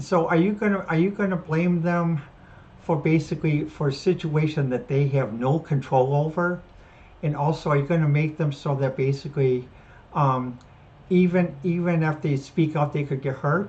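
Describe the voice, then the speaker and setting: Her voice very deep and low, a woman speaks somewhat breathily with ordinary pitch variation. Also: moderate pace. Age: 60s. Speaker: podcast host. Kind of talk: solo commentary. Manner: halting, many fillers and restarts.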